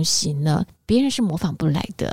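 Loud and animated, a woman speaks at a moderate pace with very wide pitch swings, in a dry, close sound with no echo. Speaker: radio host. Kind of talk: interview. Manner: animated, laughs loudly.

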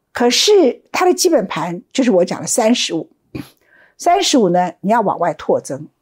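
On a very clean recording with a silent background, a woman speaks at a moderate pace with a fairly high pitch and very wide pitch swings. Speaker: political commentator. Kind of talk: solo commentary.

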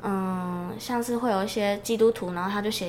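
A woman talks at a fairly quick pace in a medium pitch. Her pitch varies in an ordinary way, and audible room echo surrounds her. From Taiwan, Changhua. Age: 20s. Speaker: podcast co-host, mission agency staff. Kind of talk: casual chat.

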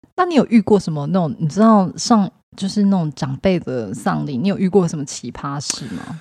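A woman's somewhat breathy, dark, mellow voice, fairly low in pitch, with very wide pitch swings at a moderate pace. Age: 30s. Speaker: podcast co-host. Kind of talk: casual chat.

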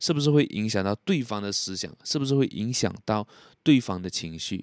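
Over a silent background in a very clean recording, a man with a fairly low voice speaks with lively intonation. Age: 20s. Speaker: podcast host. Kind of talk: solo podcast monologue. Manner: soft-spoken; casual.

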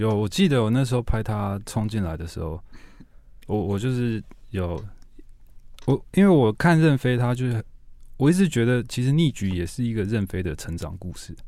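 On a very clean recording with a silent background, a dark, mellow voice with lively intonation moves at a moderate pace, broken by long, frequent pauses. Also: man, medium pitch for a man. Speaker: TV series director. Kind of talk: casual interview.

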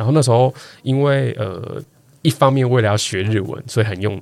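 Speaking at a very fast pace is a man. The variation in his pitch is ordinary. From Taiwan, Kaohsiung. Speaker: guest co-host, podcaster. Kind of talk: casual chat. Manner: animated, laughing often.

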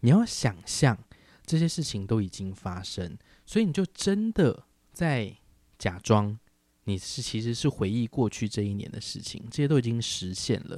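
On a very clean recording with a silent background, a man talks in a relaxed tone at medium pitch with lively intonation. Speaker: podcast host. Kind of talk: casual solo podcast chat. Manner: relaxed, unhurried.

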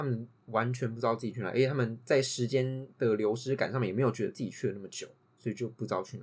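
At a very fast pace, a man talks in a somewhat breathy medium pitch, his intonation fairly even but his loudness swinging widely. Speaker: podcast co-host. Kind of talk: casual chat.

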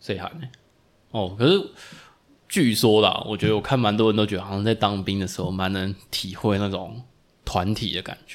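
A man speaks at a moderate pace with fairly low pitch and fairly even intonation, leaving long, frequent pauses. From Taiwan (Tainan). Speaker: podcast co-host, physical therapist. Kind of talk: casual chat.

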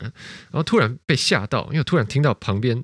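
The recording is very clean, with a silent background. A man talks very fast with lively intonation. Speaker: podcast host. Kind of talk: casual chat.

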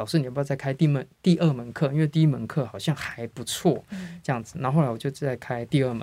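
A man's dark, mellow voice at a fairly quick pace, on a very clean recording with a silent background. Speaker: English teacher, formerly in tech industry. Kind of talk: interview.

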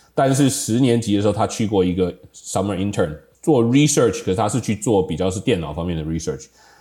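In a very clean recording with a silent background, a man with a dark, mellow tone and fairly low pitch talks at a fairly quick pace with lively intonation. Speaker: software industry professional, high school alumnus. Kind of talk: casual reminiscing interview.

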